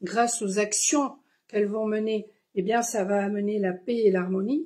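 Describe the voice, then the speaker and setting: A somewhat breathy voice at a fairly slow pace, with ordinary pitch variation. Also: woman. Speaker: spiritual card reader. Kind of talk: live stream card reading. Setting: live stream. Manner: halting with many fillers.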